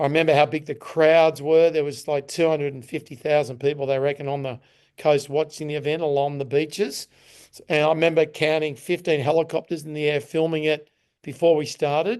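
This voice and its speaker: A man with an Australian accent speaks at a fairly quick pace over a quiet background. His pitch is fairly high and his intonation monotone and flat. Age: 60s. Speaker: Ironman champion and performance coach. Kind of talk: podcast interview. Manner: halting.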